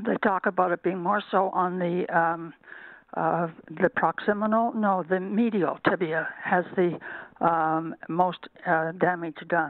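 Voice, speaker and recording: A woman talks at a very slow pace with a fairly low pitch. Her loudness stays very even and her intonation is fairly even. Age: 80s+. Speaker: caller. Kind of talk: call-in question. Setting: phone call. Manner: halting.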